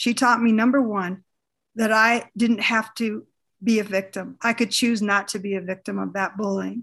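A woman's normal speaking voice with an American accent, fairly high in pitch, at a fairly slow pace with fairly even intonation against a quiet background. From northern Minnesota, US. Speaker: educator and teacher coach. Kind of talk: interview.

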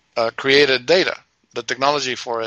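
A man's medium-pitched, bright, sharp voice, with an Argentine accent and monotone, flat intonation. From Argentina. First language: Spanish. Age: 60s. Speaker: radio show co-host. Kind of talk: casual chat.

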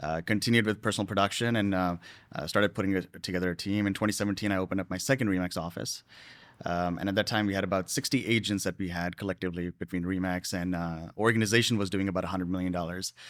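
Over a very clean recording with a silent background, a man with a very deep, low pitch speaks at a very fast pace with fairly even intonation. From immigrant from a developing country. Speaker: real estate team leader. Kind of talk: interview.

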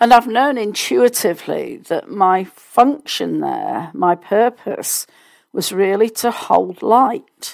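Very slow speech with a British accent, vocal fry and very wide pitch swings, on a very clean recording with a silent background. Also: woman. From United Kingdom. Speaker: podcast host and success coach. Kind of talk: solo news commentary.

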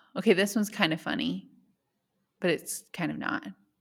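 With vocal fry at a medium pitch, a woman speaks on a very clean recording with a silent background. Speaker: podcast host. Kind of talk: casual chat.

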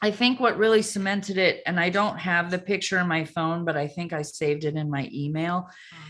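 A woman's fairly low-pitched, a normal speaking voice, at a fairly quick pace, with big swings in loudness and ordinary pitch variation. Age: 50s. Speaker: comedian. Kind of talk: casual chat.

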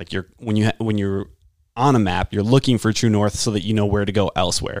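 A very fast pace with fairly even intonation, in an American accent, on a very clean, dry, close recording with no echo and a silent background. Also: man. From Wisconsin, Washington County. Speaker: fitness and nutrition coach. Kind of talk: casual interview chat.

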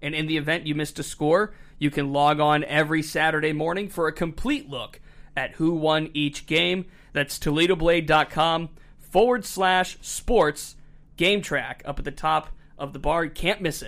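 A man with an American accent speaks in a normal speaking voice, fairly high-pitched for a man, at a moderate pace. His intonation stays fairly even on a very clean recording with a silent background. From Northeast Ohio. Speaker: sports podcast host. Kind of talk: casual chat. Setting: studio.

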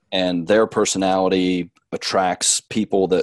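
Against a quiet background, a man talks very slowly at a fairly low pitch, the sound dry and close with no echo. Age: 40s. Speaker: strength coach and athletic trainer. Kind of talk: podcast interview. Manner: halting, many fillers.

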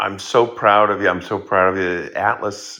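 Bright and sharp in tone, a man speaks at a fairly slow pace. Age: 60s. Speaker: economist and professor answering audience questions. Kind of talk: live Q&A lecture. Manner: explanatory, opinionated.

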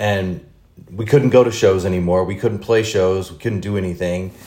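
A somewhat breathy male voice. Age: 40s. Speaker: podcast host and touring musician. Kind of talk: casual interview chat. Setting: home studio. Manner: halting, many fillers.

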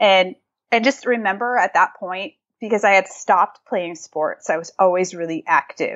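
Speaking at a moderate pace, a woman uses an ordinary speaking voice with medium pitch and ordinary pitch variation. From New England, Massachusetts. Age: 30s. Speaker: nutrition and fitness podcaster, founder. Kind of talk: casual interview.

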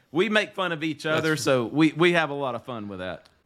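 Noticeable background noise sits behind a man speaking in a fairly high pitch with a rural Southern US accent. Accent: rural Southern US, country drawl. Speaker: podcast co-host.

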